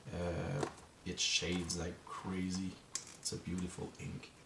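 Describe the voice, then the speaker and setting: Speech with an audible room echo, noticeable background noise, and a French Canadian accent. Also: man. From Quebec. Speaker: journaling vlogger. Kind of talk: casual vlog talk to camera. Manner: halting, searching for words.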